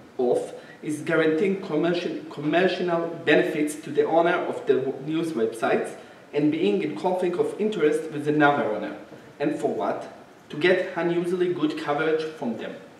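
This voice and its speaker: A man talks at a moderate pace with ordinary pitch variation, with audible room echo and light background noise. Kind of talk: lecture. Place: hall.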